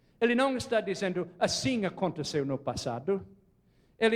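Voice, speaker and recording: At a fairly slow pace, a man with a non-native accent speaks in an animated tone with very wide pitch swings. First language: not Portuguese (speaking Portuguese). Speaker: preacher. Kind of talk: sermon. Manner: animated, questioning audience.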